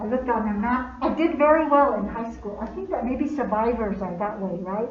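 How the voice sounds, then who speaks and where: Lively intonation marks this woman's fairly high voice. She moves at a fairly quick pace over noticeable background noise. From Navajo, Arizona. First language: Navajo. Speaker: poet and storyteller. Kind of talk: personal storytelling to live audience.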